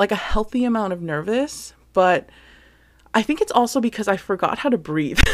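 A woman with a plain, everyday voice speaks at medium pitch with lively intonation. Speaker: podcast host. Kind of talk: casual solo podcast monologue. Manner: chatty, sincere.

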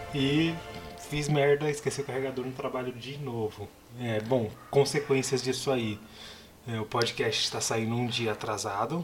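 Noticeable background noise accompanies a man who speaks fairly slowly with fairly even intonation. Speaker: movie podcast co-host. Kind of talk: casual chat.

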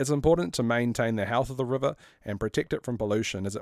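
A man with a New Zealand accent and ordinary pitch variation. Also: very clean recording, silent background. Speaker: city councillor and podcast host. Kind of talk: scripted narration.

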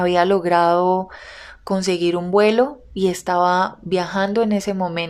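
Fairly slow and with fairly even intonation, this is a plain, everyday voice. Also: woman, medium pitch for a woman. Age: 20s. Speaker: podcast host and content creator. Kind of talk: personal storytelling monologue.

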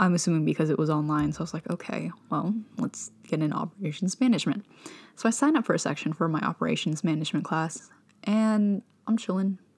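Speaking at a very fast pace, a woman with a fairly low pitch and somewhat breathy delivery uses ordinary pitch variation. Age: 20s. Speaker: podcast host, university student. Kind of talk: casual monologue. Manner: animated.

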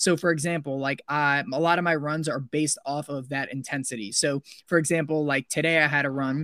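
In a very clean recording with a silent background and a dry, close sound with no echo, a man with an American accent talks at a fairly quick pace in a fairly high pitch with ordinary pitch variation. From New York, Westchester County. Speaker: podcast host and ultrarunner. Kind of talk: casual interview chat. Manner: animated.

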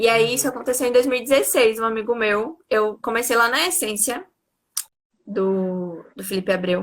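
A woman's fairly high-pitched, ordinary speaking voice at a fairly slow pace, with lively intonation. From interior of Bahia, Brazil. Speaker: dance teacher. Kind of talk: casual interview.

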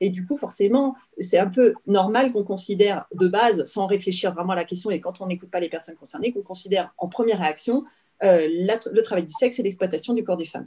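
A woman with a dark, mellow tone at a fairly quick pace. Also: medium pitch for a woman, ordinary pitch variation. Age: 40s. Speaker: author and illustrator. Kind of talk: interview.

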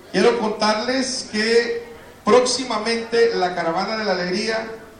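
Noticeable background noise and audible room echo surround a man with a high pitch. He talks at a very slow pace with fairly even intonation. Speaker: TV producer. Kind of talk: event speech. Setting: stage with audience.

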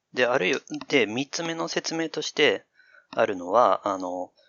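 The speaker is a man of medium pitch talking at a fairly slow pace. His pitch swings very widely. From Chichibu, Saitama (until mid elementary school). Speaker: AI dialogue systems researcher with linguistics background. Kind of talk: casual chat.

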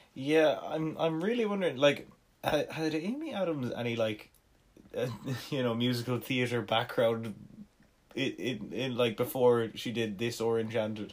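At a moderate pace, a man talks in an unremarkable speaking voice with medium pitch and ordinary pitch variation. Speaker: podcast co-host. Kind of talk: casual comedic chat.

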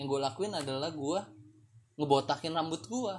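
This man's voice is somewhat breathy, moving at a fairly slow pace with ordinary pitch variation. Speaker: solo podcast host. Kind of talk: casual monologue. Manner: halting.

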